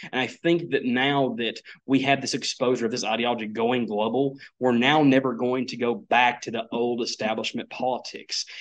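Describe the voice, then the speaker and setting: With an East Tennessee accent, a man speaks at medium pitch and a moderate pace, his intonation fairly even. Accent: Southern US (East Tennessee). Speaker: conservative columnist and county party chairman. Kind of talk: political interview.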